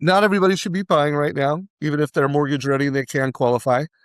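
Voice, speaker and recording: A man with an ordinary speaking voice talks at a fairly high pitch with ordinary pitch variation, the sound dry and close with no echo. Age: 60s. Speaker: mortgage tech founder. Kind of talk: interview.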